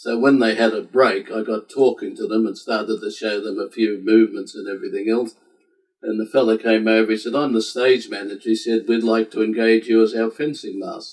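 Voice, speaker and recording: A man moves fairly quickly through his words in an Australian accent. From Australia, Sydney. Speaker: civil war historian and collector. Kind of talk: interview. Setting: home library.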